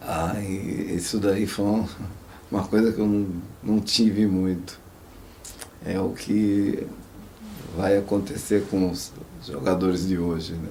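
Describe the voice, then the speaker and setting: A man talks very slowly with long, frequent pauses, his pitch fairly low and his intonation fairly even. Noticeable background noise runs underneath. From interior of São Paulo state, Brazil. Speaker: former footballer. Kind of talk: oral history interview answer. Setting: studio.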